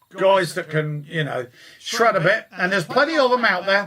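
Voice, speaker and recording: There is noticeable noise in the background. Over it, a man talks with an English accent. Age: 60s. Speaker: guitar teacher. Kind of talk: live stream chat. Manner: hesitant, many fillers.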